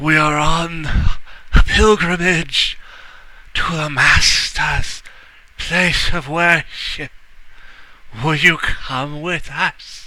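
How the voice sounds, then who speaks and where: Putting on a character voice, a man mumbles at a high pitch in a flat monotone, very slowly and with long, frequent pauses. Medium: actual play. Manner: mumbling, toothless.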